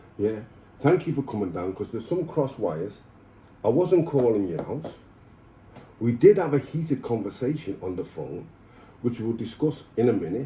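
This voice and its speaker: A man's somewhat breathy, dark and mellow voice at medium pitch, swinging very widely in pitch at a moderate pace. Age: 60s. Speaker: ex-prisoner. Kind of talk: casual chat. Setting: at his home.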